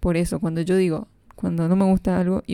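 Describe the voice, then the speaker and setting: Over a silent background in a very clean recording, a woman speaks at a moderate pace in a medium pitch with a dark, mellow tone. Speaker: podcast host. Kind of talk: casual monologue.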